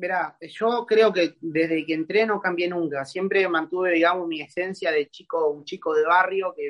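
With an Argentine accent, a man talks at a high pitch and a moderate pace, using fairly even intonation and hardly any pauses. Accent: Rioplatense Argentine Spanish. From Argentina, Buenos Aires conurbano. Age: 20s. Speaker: calisthenics athlete. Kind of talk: casual interview chat. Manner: halting, repeats words.

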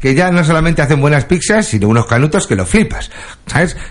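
Animated in tone, a man swings his pitch very widely, with vocal fry in his voice. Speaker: radio comedy host. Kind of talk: comedic radio show.

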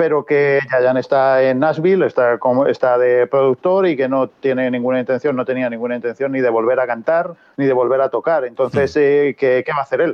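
A man talks at a very fast pace with hardly any pauses. His intonation is fairly even and his loudness very even. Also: medium pitch for a man. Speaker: podcast co-host and interpreter. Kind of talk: casual interview chat.

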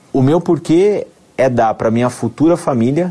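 With lively intonation and at a moderate pace, a man talks in an unremarkable speaking voice. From São Paulo state interior (Amparo, near Campinas), Brazil. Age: 30s. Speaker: dentist turned network marketer. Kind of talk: testimony.

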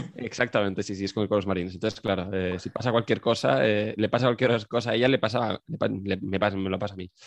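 Very fast and fairly even in intonation, a man talks at a fairly low pitch. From Spain. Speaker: podcast guest. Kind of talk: casual chat. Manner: halting.

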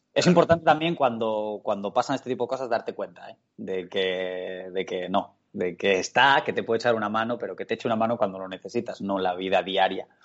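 Hardly pausing, a man with an unremarkable speaking voice and medium pitch talks at a fairly quick pace with lively intonation. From Spain, El Bierzo (León). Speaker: professional footballer. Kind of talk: casual interview chat. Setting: video call.

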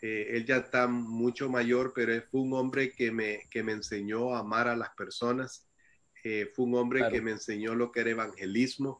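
A man's medium-pitched voice at a moderate pace, in a monotone, flat intonation. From El Salvador. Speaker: missionary. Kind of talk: testimony. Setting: video call.

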